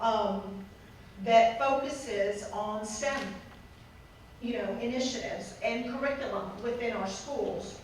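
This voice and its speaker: Amid audible room echo and noticeable background noise, a woman speaks fairly slowly at a fairly high pitch with ordinary variation, leaving long, frequent pauses. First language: Spanish. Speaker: utility company representative. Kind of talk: public speech at ceremony. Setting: event with audience. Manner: hesitant, many fillers.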